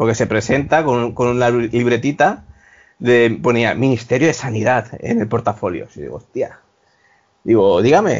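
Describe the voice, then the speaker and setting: A man speaks at a moderate pace and medium pitch. His voice has vocal fry. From Spain, Valencia. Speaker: former hospitality worker. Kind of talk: casual chat.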